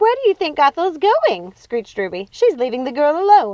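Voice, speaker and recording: In a put-on character voice, a woman speaks at a moderate pace, shrill and high-pitched, with very wide pitch swings. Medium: read story.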